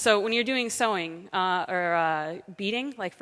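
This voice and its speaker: A woman with an American accent speaks at a fairly low pitch and moderate pace. The recording is very clean, with a silent background. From United States. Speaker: software developer and conference speaker. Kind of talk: conference talk. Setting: stage with audience. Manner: hesitant, many fillers.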